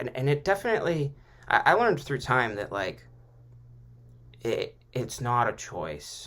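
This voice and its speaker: A man's medium-pitched voice, bright and sharp in tone, with vocal fry. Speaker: podcast host. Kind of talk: personal monologue. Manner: halting with repetitions; casual, profane.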